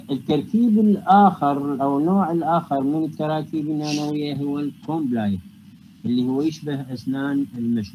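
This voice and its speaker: A man's dark, mellow tone at a fairly high pitch, with lively intonation and a moderate pace. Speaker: university lecturer and researcher in physics. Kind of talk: academic lecture. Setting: online video call lecture. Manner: formal, explanatory, mixes English technical terms.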